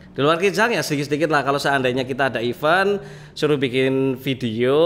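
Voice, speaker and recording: A man talks very fast at a fairly high pitch, with ordinary pitch variation. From Central Java, Wonosobo. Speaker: car modification YouTuber. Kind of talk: casual podcast chat. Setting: hair studio, podcast with live stream.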